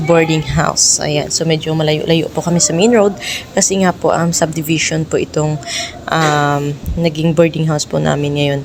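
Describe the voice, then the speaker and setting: A woman talks in a fairly low pitch with fairly even intonation. Noticeable background noise runs underneath. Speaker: vlogger. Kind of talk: casual vlog narration. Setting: outdoors outside the office.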